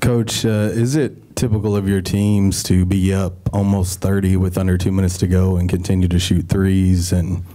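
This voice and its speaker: The speech moves at a moderate pace, monotone and flat in intonation, with very even loudness. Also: man. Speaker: sports reporter. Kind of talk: press conference questions. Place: meeting room.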